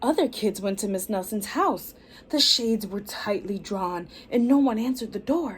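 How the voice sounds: Someone is reading aloud. The reading sounds natural.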